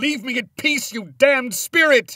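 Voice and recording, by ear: A man's put-on character voice, extremely high and bright, sharp in tone, at a fairly slow pace.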